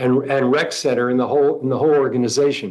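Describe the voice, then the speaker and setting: The speaker is a man with a fairly high voice. He talks at a moderate pace. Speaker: community member giving public comment. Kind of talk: public comment at board meeting. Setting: board meeting room with mic. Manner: halting, with many fillers.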